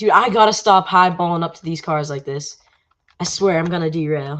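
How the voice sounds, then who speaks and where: This woman has a normal speaking voice with a fairly low pitch. She talks at a moderate pace with ordinary pitch variation. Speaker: gaming livestreamer. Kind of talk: live gameplay commentary. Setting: livestream.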